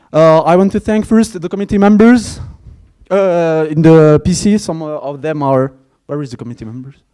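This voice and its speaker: Fairly high-pitched man with a French accent and a dark, mellow tone. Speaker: conference organizer. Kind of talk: closing speech. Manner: halting.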